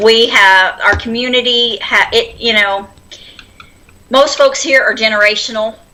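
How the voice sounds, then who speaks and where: The speaker has an American accent and talks at a fairly slow pace with fairly even intonation and very even loudness. Noticeable background noise is present. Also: woman, fairly high pitch for a woman. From Oklahoma, Silver City. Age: 40s. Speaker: homesteader. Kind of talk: casual chat.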